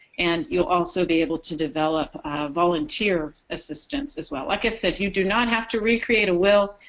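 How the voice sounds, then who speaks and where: A woman with an ordinary speaking voice talks at a medium pitch and moderate pace. Her intonation is lively, with hardly any pauses. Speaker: program trainer presenting to care facilities. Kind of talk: webinar presentation. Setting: webinar broadcast.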